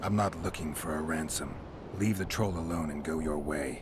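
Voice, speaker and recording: A put-on character voice from a man, very deep and low, deadpan in tone at a moderate pace, with clear background noise. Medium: video game. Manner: terse, deadpan.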